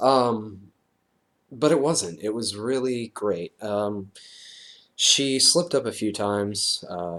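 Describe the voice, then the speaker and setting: Speaking at a very slow pace, a man uses lively intonation at a fairly low pitch. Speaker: vlogger. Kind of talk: casual video update. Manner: hesitant, many fillers.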